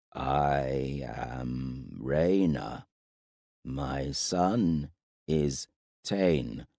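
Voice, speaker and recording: A man puts on a gravelly character voice with a very deep, low pitch. He speaks at a very slow pace with long, frequent pauses. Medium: read story. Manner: terse, halting speech in a foreign tongue.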